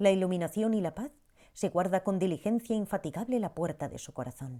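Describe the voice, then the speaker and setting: A woman with a plain, everyday voice, medium pitch, lively intonation, a fairly quick pace and big swings in loudness, in a very clean recording with a silent background. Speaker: audiobook narrator. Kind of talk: audiobook narration, reflective reading.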